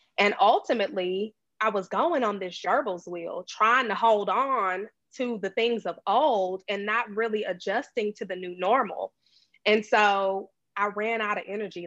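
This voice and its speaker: A woman with a plain, everyday voice talks at a moderate pace and medium pitch. Her pitch varies in an ordinary way, and the background is quiet. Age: 30s. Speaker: operations manager and blogger. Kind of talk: casual interview. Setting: Facebook live video call.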